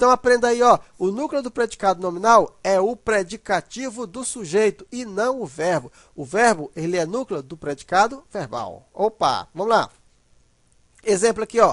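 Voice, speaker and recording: Against a quiet background, the speaker uses an animated tone at a moderate pace. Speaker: grammar teacher. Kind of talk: lecture.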